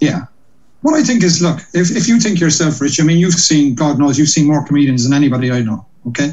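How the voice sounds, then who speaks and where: Talking at a very fast pace in a Cork accent, a man with fairly high pitch sounds somewhat breathy, with lively intonation and very even loudness. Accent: Cork Irish. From Ireland, Cork. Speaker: comedian and compere. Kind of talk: casual interview.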